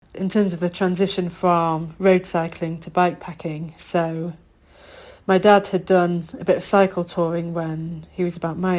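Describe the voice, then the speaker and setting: The speaker has a Yorkshire accent and a monotone, flat intonation. The pace is fairly slow, and the recording is very clean with a silent background. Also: woman. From northern England, Yorkshire. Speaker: bikepacker, podcast guest. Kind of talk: interview.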